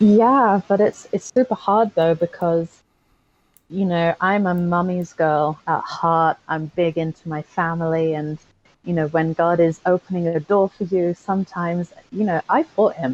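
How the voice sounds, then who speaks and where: A woman with an English accent speaks at a fairly slow pace with a fairly low pitch. Her pitch varies in an ordinary way, and the sound is dry and close with no echo. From England, Aylesbury, Buckinghamshire. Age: 20s. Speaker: construction cost manager. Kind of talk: podcast interview testimony.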